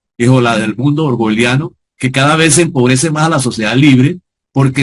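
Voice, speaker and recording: A fairly quick pace with a somewhat breathy quality. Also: man. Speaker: sociologist and lecturer. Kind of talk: lecture. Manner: fast.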